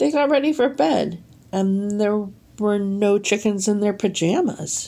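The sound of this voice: The text is read in an unforced voice.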